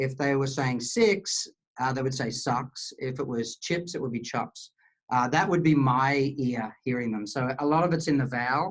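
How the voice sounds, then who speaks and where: A man with an Australian accent speaks at medium pitch. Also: ordinary pitch variation, moderate pace. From Australia, rural Queensland (Charleville). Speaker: cloud software engineer. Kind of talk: podcast interview. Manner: halting, many fillers.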